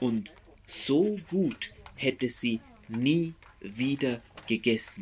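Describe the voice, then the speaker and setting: A man at a very slow pace, with lively intonation and long, frequent pauses. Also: medium pitch for a man. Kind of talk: poet reading a poem aloud over a soundscape. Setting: binaural recording with soundscape. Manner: slow, deliberate, measured pace with long pauses between lines.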